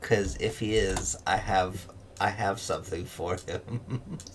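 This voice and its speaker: Over clear background noise, a man uses a raspy, put-on character voice at a fairly slow pace. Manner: ominous.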